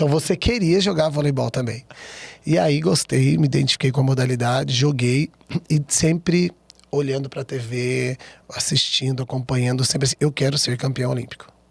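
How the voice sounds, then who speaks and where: A man's somewhat breathy, medium-pitched voice with ordinary pitch variation, in a dry, close sound with no echo. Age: young. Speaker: volleyball coach. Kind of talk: interview. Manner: fast.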